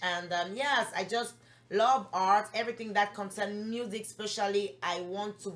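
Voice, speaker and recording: Speaking with a French accent, a woman uses an animated tone at a medium pitch, a moderate pace and ordinary pitch variation. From Gabon. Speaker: recording artist. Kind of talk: interview. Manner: halting.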